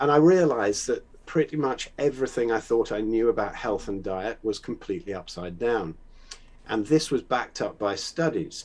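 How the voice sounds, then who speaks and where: At a moderate pace, a man with a medium pitch speaks using lively intonation. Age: 60s. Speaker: conspiracy-minded guest, drummer. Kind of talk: casual debate conversation. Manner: halting, many fillers and repeats.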